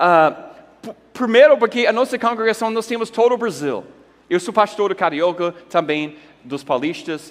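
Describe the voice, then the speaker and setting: Animated and lively in intonation, a man with an English accent speaks at a fairly slow pace. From United States. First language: English (speaking Portuguese). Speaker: pastor. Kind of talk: conference talk.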